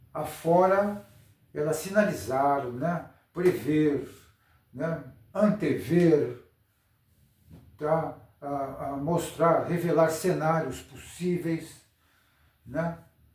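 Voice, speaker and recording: A man with a fairly high voice talks very slowly, with ordinary pitch variation and long, frequent pauses, in a room with audible echo. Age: 70s. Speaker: astrologer. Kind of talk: improvised lecture. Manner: halting.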